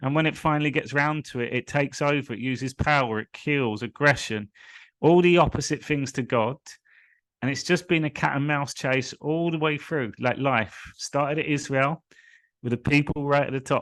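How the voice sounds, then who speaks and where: At a moderate pace, a man with a London accent talks in fairly even intonation against a quiet background. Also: fairly high pitch for a man, dry, close sound with no echo. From England, London (Hillingdon). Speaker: spiritual coach. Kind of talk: live stream monologue.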